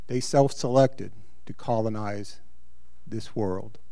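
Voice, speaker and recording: A man with an American accent at a fairly slow pace, medium pitch and ordinary pitch variation. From Virginia. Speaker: congregation member. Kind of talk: audience comment.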